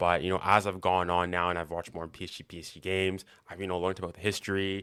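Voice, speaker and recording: In a very clean recording with a silent background, a voice with a Canadian accent speaks very fast in a bright, sharp tone with monotone, flat intonation. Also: man. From Canada, Manitoba. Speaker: football fan guest. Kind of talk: casual podcast interview. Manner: hesitant, many fillers.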